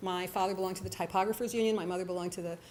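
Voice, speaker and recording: With audible room echo, a woman with an American accent speaks with fairly even intonation. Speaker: writer and storyteller. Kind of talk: storytelling on stage. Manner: fast.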